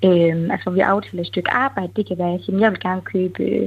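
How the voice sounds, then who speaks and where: This woman has a normal speaking voice, pitched in the middle of her range. She keeps a moderate tempo, and her intonation stays fairly even. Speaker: webshop owner. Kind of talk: interview. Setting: phone call.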